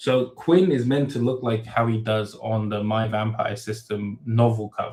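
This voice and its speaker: A man with a medium-pitched, somewhat breathy voice is heard on a very clean recording with a silent background. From Thailand. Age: 30s. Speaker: web novel author. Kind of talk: live Q and A stream. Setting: livestream. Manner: casual, many fillers and false starts.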